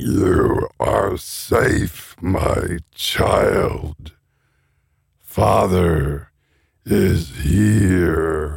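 In a put-on character voice, a man speaks at a very slow pace, his very deep, low voice wheezy, gruff, raspy and gravelly.

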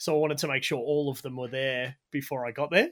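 A man with an Australian accent, fairly high pitch, a bright, sharp tone, ordinary pitch variation and a fairly quick pace, in a very clean recording with a silent background. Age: 30s. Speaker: motorsport commentator and oil company employee. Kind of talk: casual chat. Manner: fast.

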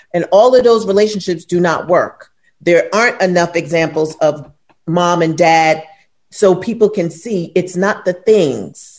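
A woman in a New York accent, fairly low in pitch, with ordinary pitch variation and a fairly slow pace. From New York, Brooklyn. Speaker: podcast co-host. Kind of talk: casual chat.

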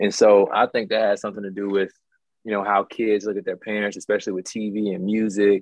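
At a fairly quick pace, a man talks in a fairly low, monotone voice with flat intonation. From Mobile, Alabama. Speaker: former college football player. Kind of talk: casual podcast chat.

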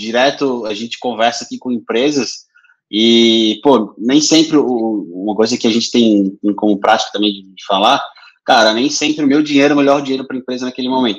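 A man in a normal speaking voice, medium-pitched with ordinary pitch variation, at a fairly quick pace with big swings in loudness. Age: 30s. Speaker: podcast host, business development. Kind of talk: casual interview.

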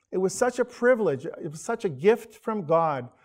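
A man uses an unremarkable speaking voice, talking at a moderate speed. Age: 50s. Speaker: church elder giving a sermon. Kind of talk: sermon. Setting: church, streamed online.

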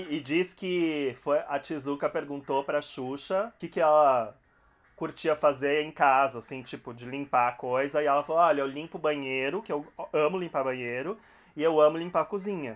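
In a normal speaking voice, a man talks at a moderate pace with a fairly high pitch and ordinary pitch variation. His loudness swings widely, and the recording is very clean with a silent background. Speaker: podcast host. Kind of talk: casual chat.

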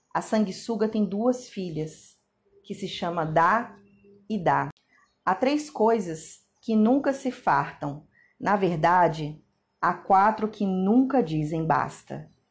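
Her voice is somewhat breathy, at a medium pitch with lively intonation. The woman speaks at a very slow pace against a quiet background. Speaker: Bible reader. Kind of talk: scripture reading.

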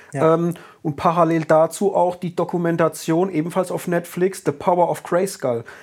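In a very clean recording with a silent background, a man speaks with a high pitch and fairly even intonation, hardly pausing. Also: moderate pace. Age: 30s. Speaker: podcast host. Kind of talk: casual chat.

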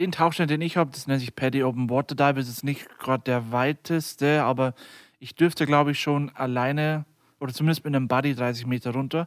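The very fast speech, with fairly even intonation, sounds dry and close, without any echo. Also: man, fairly high pitch for a man, very clean recording, silent background. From Lower Bavaria, Germany (near Deggendorf). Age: 20s. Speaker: podcast co-host and IT company co-founder.

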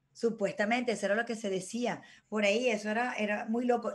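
A woman with a normal speaking voice talks at a fairly quick pace with fairly even intonation. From Venezuela. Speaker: former beauty queen, TV presenter. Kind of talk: casual chat.

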